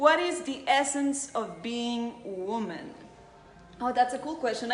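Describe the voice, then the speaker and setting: Lively intonation in a Spanish accent at a fairly slow pace, with audible room echo and noticeable background noise. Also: woman. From Costa Rica. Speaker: beauty pageant contestant. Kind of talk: live Q&A.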